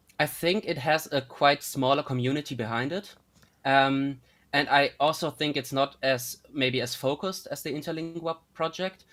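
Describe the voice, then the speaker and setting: With a German accent, a man speaks at medium pitch and a moderate pace with ordinary pitch variation. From northern Germany (North Frisia). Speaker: linguistics student. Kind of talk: casual interview. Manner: halting, many fillers.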